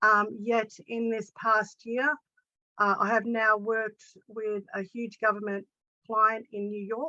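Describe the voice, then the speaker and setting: The speaker has an Australian accent and a bright, sharp tone. Delivery is very slow and monotone, with flat intonation and a dry, close sound with no echo. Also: woman, fairly high pitch for a woman. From Australia, Sydney. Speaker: coaching student and practitioner. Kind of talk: casual testimony in online group session. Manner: halting, many fillers.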